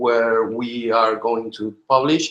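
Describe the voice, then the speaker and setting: The man's voice is medium in pitch, with a bright, sharp tone. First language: not English. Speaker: software engineer giving a technical talk. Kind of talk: technical presentation in a team video call. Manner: halting, many fillers and repetitions.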